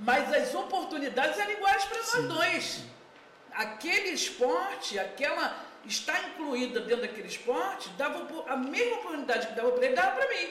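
Swinging her pitch very widely, a woman talks at a fairly quick pace with audible room echo. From Brazil, Mesquita (Rio de Janeiro). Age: 50s. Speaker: community activist, former football referee. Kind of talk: casual chat. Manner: halting.

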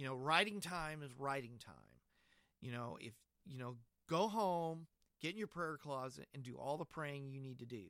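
At a moderate pace, a man with a fairly high, bright, sharp voice and lively intonation makes big swings in loudness and leaves long, frequent pauses. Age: 50s. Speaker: podcast host and church musician. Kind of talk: casual chat. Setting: video call.

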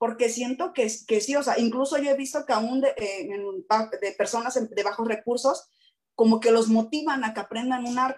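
With ordinary pitch variation, the delivery keeps a moderate pace. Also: woman, high pitch for a woman. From Acapulco, Mexico. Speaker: art teacher. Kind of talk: panel discussion.

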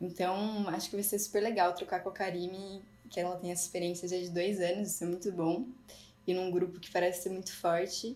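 A woman's dark, mellow voice moves at a fairly quick pace with fairly even intonation. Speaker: physiotherapist and master's researcher. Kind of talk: casual panel discussion.

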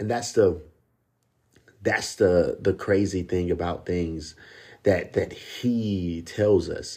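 A man speaks very slowly at a very deep, low pitch, with a dark, mellow tone and a somewhat breathy quality. His intonation stays fairly even, broken by long, frequent pauses. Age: 30s. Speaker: podcast host. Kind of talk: personal monologue. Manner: halting, repeats words.

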